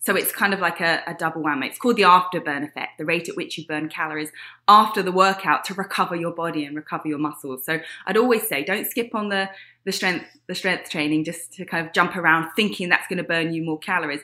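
On a very clean recording with a silent background, a woman with an American accent talks at a very fast pace in a bright, sharp tone, her fairly low pitch showing ordinary variation while her loudness swings widely. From England (Huntingdon, Cambridgeshire). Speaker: fitness trainer. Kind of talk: interview.

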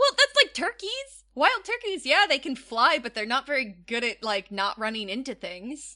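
A woman with a high pitch and a bright, sharp tone raises and projects her voice at a moderate pace, with very wide pitch swings, big shifts in loudness and hardly any pauses, in a dry, close sound with no echo. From suburbs. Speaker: podcast co-host. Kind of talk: casual chat.

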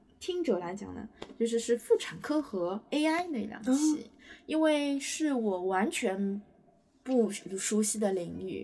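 Somewhat breathy, a woman speaks at a very slow pace with a fairly high pitch. Her pitch swings very widely. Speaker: stand-in podcast host. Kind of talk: casual chat. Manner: laughs often, somewhat halting.

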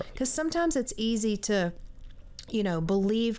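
Her intonation is lively as a woman with an American accent, a medium pitch and a dark, mellow tone speaks at a moderate pace. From South Carolina. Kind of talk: interview testimony. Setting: studio.

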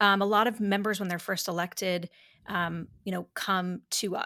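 In a very clean recording with a silent background, a woman uses a normal speaking voice with an American accent, medium pitch, ordinary pitch variation and a moderate pace. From upstate New York. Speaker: conservative policy director. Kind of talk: interview.

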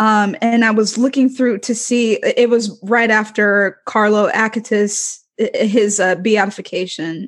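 A woman with an ordinary speaking voice talks at a fairly slow pace and fairly high pitch. Her intonation is fairly even and her loudness very even. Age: 20s. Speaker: student. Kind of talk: casual chat.

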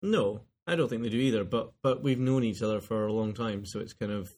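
This man talks at a fairly quick pace with a strong Scottish accent and a medium pitch. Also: ordinary pitch variation. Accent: broad Scottish. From Scotland, lives in Glasgow. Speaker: podcast co-host.

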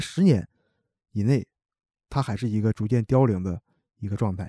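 A man with a Northeastern Chinese accent speaks fairly quickly in a dark, mellow tone. The recording is very clean and dry, close with no echo, over a silent background. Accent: Northeastern Mandarin. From Heilongjiang, Hegang (Northeast China). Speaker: construction materials worker. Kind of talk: casual chat.

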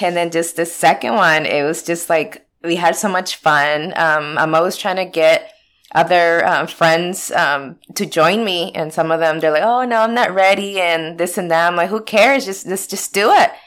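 A woman with an ordinary speaking voice and an American accent talks at a moderate pace with hardly any pauses. Her pitch is fairly low with ordinary variation, in a very clean recording with a silent background. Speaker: pinball lounge owner. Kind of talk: casual interview.

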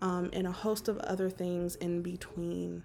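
The speaker has an American accent. The pace is fairly slow. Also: woman. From Las Vegas, Nevada. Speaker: podcast host. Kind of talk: solo podcast introduction. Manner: hesitant, many filler words.

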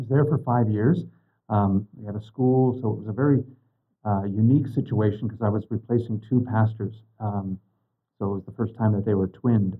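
With an American accent, a man speaks fairly quickly in a somewhat breathy, fairly low voice with fairly even intonation. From Eastern Washington. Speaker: priest. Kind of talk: interview.

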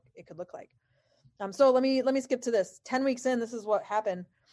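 A woman speaks with ordinary pitch variation. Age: 30s. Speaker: pastor. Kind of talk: online presentation. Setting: video call.

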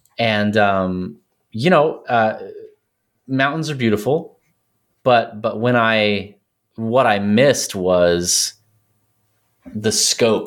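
A man with an American accent has an unremarkable speaking voice at medium pitch and ordinary pitch variation. The recording is very clean, with a silent background. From Texas. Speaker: academic guest with a doctorate. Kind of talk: casual chat.

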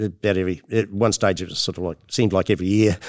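A man with a New Zealand accent, fairly low pitch, fairly even intonation and a fairly quick pace, in a very clean, dry, close recording with a silent background and no echo. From New Zealand, Motueka (top of South Island). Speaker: hop breeder and plant geneticist. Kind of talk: interview. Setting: conference venue.

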